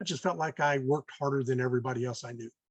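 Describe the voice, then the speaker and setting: With a somewhat breathy voice at a medium pitch, a man speaks at a very fast pace and ordinary pitch variation, in a dry, close sound with no echo. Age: 60s. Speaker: real estate investor. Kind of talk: podcast interview. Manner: halting, many fillers.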